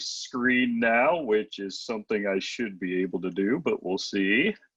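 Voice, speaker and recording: Speaking at a fairly slow pace with an American accent, a man has an unremarkable speaking voice, medium in pitch with ordinary pitch variation. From Michigan. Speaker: limnologist, guest speaker. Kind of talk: lecture.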